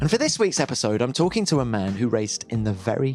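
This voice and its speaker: Over background music, a man speaks at a medium pitch with lively intonation. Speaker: podcast host. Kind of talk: podcast introduction.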